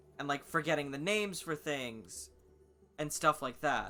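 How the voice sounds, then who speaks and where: Ordinary pitch variation, with music in the background. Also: man. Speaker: gaming streamer. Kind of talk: casual chat.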